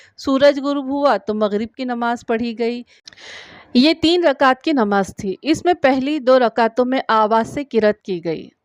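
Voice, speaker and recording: Over a quiet background, a woman with a high pitch speaks with ordinary pitch variation in a dry, close sound with no echo. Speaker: voice-over artist. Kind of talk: religious story narration.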